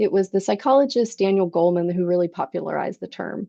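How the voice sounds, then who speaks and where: The speaker has a normal speaking voice with lively intonation. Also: woman. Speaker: surgical education program manager presenting a webinar. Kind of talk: webinar presentation.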